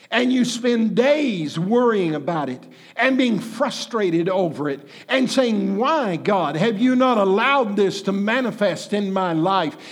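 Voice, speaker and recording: Audible room echo surrounds a man speaking fairly slowly in a high voice with lively intonation. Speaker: pastor. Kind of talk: sermon. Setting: church.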